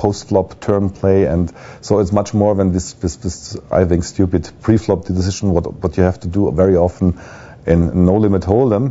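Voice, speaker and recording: A man with a German accent, very deep and low in pitch, at a moderate pace with fairly even intonation. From Germany. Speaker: poker pro. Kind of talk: video blog. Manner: halting.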